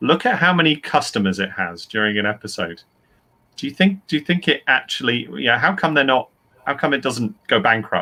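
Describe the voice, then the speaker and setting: Man with a British accent at medium pitch, bright and sharp in tone with vocal fry, very wide pitch swings and a fairly quick pace. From UK. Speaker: author and writing teacher. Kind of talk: panel discussion. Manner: halting, with frequent repetitions.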